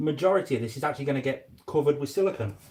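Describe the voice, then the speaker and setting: His voice carries a touch of breathiness. The man speaks very fast. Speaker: reptile keeper and YouTuber. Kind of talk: casual live stream commentary while working. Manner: quiet.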